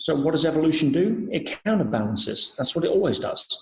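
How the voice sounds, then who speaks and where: The speaker is a man with an English accent. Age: 40s. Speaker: personal development speaker. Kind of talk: podcast interview.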